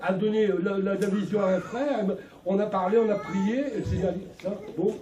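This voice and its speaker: Fairly quick speech with noticeable background noise and audible room echo. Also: man. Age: 60s. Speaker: local organizer speaking to assembly. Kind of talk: exhortation to congregation. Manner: animated.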